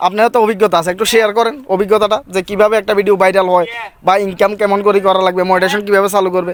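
A man's high-pitched voice, monotone and flat in intonation, with very even loudness. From Bangladesh, Feni (Parshuram). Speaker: YouTuber interviewing local content creators. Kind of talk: casual interview.

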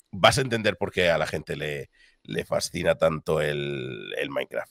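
This man's voice has vocal fry and sounds dry and close with no echo, on a very clean recording with a silent background. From Spain, Cartagena (Murcia). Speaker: esports caster and streamer. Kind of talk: casual chat. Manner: clear, easy to understand.

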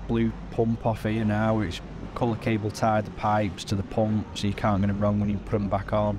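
Over noticeable background noise, a man talks at a moderate pace with a fairly low pitch and monotone, flat intonation. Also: dry sound with no echo. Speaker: tractor mechanic. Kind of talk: casual work commentary. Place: workshop.

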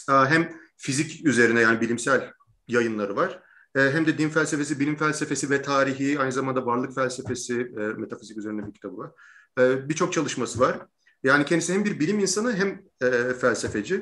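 Over a quiet background, a man talks fairly quickly in a bright, sharp tone with lively intonation. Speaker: interview host. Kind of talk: interview introduction and lecture-style explanation. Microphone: video call.

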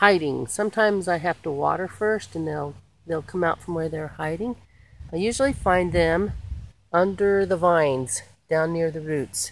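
With a normal speaking voice, a woman talks at a moderate pace with a fairly low pitch and ordinary pitch variation, the sound dry with no echo. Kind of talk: casual garden tutorial vlog. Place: garden. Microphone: phone near.

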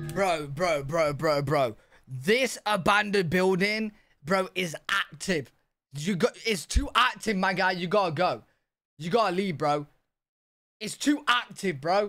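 Over background music, a man uses a raised, projected voice with lively intonation at a fairly slow pace. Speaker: streamer reacting to a video. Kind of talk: casual reaction commentary. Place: home room. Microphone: headset.

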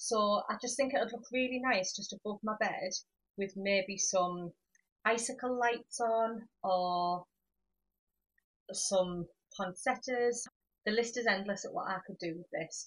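A woman talks at a fairly slow pace with long, frequent pauses and big swings in loudness. Her voice is somewhat breathy against a quiet background. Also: ordinary pitch variation. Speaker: home decor vlogger. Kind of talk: casual haul vlog chat. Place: home room. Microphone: camera far.

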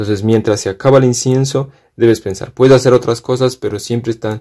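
A man talks at a fairly quick pace with a medium pitch and a dark, mellow tone. His intonation stays fairly even.

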